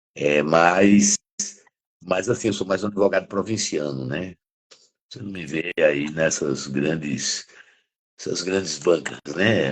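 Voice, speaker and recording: A man's very deep, low voice with a northeastern Brazilian accent, very slow pace, vocal fry, big swings in loudness, long and frequent pauses, and ordinary pitch variation. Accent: drawling northeastern Brazilian. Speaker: criminal defense lawyer and professor. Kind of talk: interview conversation. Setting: live stream.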